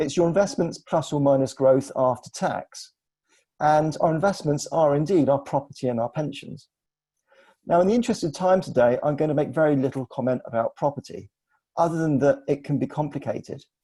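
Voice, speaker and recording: In an English accent, a man talks at a fairly quick pace with a dark, mellow, somewhat breathy tone, a fairly high pitch and ordinary pitch variation. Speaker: financial adviser. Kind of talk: webinar presentation. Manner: formal.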